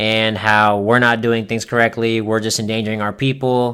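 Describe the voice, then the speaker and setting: Very clean recording, silent background: a man with an American accent and an ordinary speaking voice talks at a moderate pace and medium pitch. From Florida, US South. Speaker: podcast host, restaurant manager. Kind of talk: casual solo podcast monologue.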